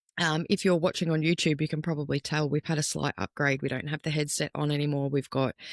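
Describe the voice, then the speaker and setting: A voice with an Australian accent on a very clean recording with a silent background. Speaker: podcast host. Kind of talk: casual chat. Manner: hesitant, many fillers. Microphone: new standalone mic.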